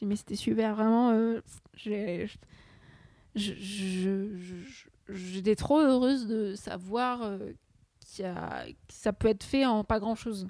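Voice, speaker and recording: A woman's very slow delivery at a medium pitch, dark and mellow in tone, with fairly even intonation, big swings in loudness and long, frequent pauses. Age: 20s. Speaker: student podcaster. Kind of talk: casual solo chat. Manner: hesitant, many fillers.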